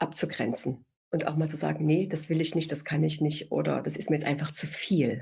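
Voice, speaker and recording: A woman speaks with a very deep, low pitch, a dark, mellow tone and vocal fry. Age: 50s. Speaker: family doctor. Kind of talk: interview.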